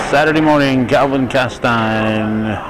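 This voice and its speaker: The man talks at a fairly slow pace with ordinary pitch variation. The sound is dry with no echo, though noticeable background noise comes through. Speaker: amateur videographer announcer. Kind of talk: commentary. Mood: light-hearted, joking. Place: hall. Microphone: phone near.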